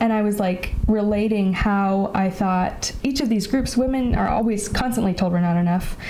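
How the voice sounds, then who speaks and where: A woman with an American accent speaks at a medium pitch and moderate pace, her intonation fairly even. Her tone is dark and mellow, and the room echo is audible. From California, Bay Area. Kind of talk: casual chat.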